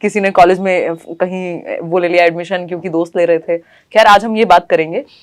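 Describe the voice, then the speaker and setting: Heard in a very clean recording with a silent background, a woman speaks in an animated tone at a moderate pace, her pitch medium. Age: 20s. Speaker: teacher exam coaching educator. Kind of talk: casual interview chat.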